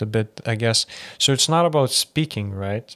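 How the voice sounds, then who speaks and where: With an ordinary speaking voice, a man talks at a fairly slow pace with medium pitch and ordinary pitch variation, on a very clean recording with a silent background and a dry, close sound with no echo. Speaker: podcast host. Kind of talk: casual chat. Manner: casual, rambling.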